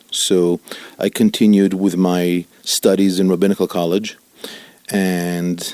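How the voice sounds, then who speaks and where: Against noticeable background noise, a man speaks with a very deep, low pitch in a monotone, flat intonation. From Italy, Milan. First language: Italian. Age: 50s. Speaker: rabbi. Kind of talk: interview.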